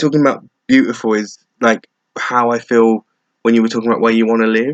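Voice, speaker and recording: A man with an English accent, a medium pitch and fairly even intonation. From England. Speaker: vlogger. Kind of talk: casual chat. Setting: laptop webcam recording at home. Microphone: laptop webcam mic.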